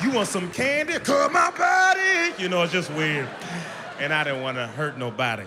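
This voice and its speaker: Music plays in the background as a man speaks. His tone is energetic and animated, at a moderate pace. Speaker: stand-up comedian. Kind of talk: stand-up comedy set. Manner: energetic, animated.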